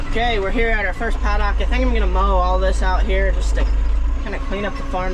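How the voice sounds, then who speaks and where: Through loud background noise, a man talks at a very fast pace. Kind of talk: casual vlog chat. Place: farm machine. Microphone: camera far.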